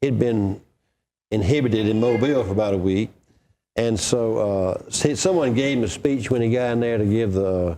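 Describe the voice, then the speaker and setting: A medium-pitched male voice with an Alabama accent, a dark, mellow tone, very even loudness, ordinary pitch variation and a moderate pace. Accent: Southern US (Alabama). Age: 60s. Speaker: political historian and author. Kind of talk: interview. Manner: storytelling, conversational.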